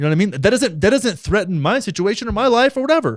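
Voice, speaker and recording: On a very clean recording with a silent background, an animated man with an American accent talks at a very fast pace, his pitch swinging very widely. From Texas. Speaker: political commentary YouTuber. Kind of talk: reaction commentary on clips. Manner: casual, animated.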